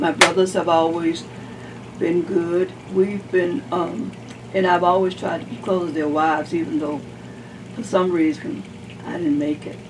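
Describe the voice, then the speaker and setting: Speaking at a moderate pace with long, frequent pauses, a woman uses a fairly low voice with ordinary pitch variation over noticeable background noise. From US South. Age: 80s+. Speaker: oral history interviewee. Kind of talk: oral history interview.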